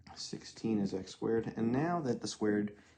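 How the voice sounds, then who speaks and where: Using an ordinary speaking voice, a man speaks at a moderate pace with a fairly low pitch. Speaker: math teacher. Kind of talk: tutorial.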